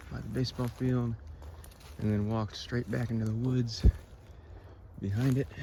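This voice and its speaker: The speaker talks softly, with a lively, bouncing intonation. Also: man. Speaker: cemetery explorer vlogger. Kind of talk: casual vlog narration. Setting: outdoors in the woods. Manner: quiet, speaking softly; halting, many fillers.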